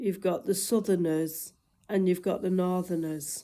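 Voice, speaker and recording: A woman speaks at a medium pitch with a northwest English accent and ordinary pitch variation. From northwest England. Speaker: vlogger. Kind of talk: casual chat.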